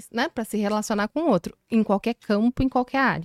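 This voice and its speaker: Speaking at a fairly quick pace, a woman with a fairly high pitch and ordinary pitch variation sounds dry and close with no echo, on a very clean recording with a silent background. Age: 30s. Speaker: HR consultant. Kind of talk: interview.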